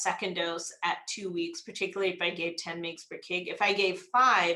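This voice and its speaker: A woman talks at a moderate pace with ordinary pitch variation, with noticeable background noise and audible room echo in the recording. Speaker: gastroenterologist. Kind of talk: lecture.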